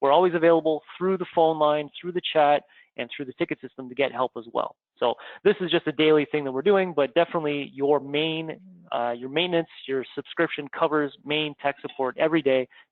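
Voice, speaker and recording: A man with a Canadian accent and a normal speaking voice speaks at a fairly quick pace in a fairly high pitch, with fairly even intonation. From Canada. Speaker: software trainer. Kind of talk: live webinar training session. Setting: live online broadcast.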